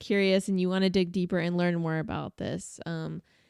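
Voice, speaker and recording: A woman speaks at a medium pitch in an animated tone. The recording is very clean, with a silent background. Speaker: wedding videographer and podcast co-host. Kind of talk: casual podcast chat. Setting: studio podcast with headsets. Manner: loud.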